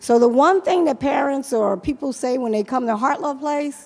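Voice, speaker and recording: The speaker has a New York accent, talking at a moderate pace with lively intonation. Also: woman. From Brooklyn, New York. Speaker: nonprofit leader. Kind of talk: conference panel talk.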